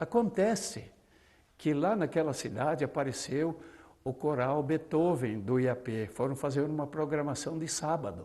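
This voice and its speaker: A man's dark, mellow, fairly high-pitched voice at a fairly slow pace, with lively intonation. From southern Brazil, Paraná. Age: 70s. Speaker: retired pastor and singer. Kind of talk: testimony.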